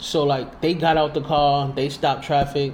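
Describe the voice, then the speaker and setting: A man's voice is somewhat breathy and fairly high in pitch. He speaks at a moderate pace. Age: 30s. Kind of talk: casual banter.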